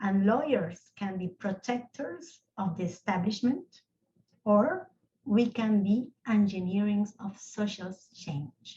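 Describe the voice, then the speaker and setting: A woman's medium-pitched, somewhat breathy voice with a dark, mellow tone and a non-native accent. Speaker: lawyer, rights of nature advocate. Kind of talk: panel discussion closing remarks. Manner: halting, repeats words.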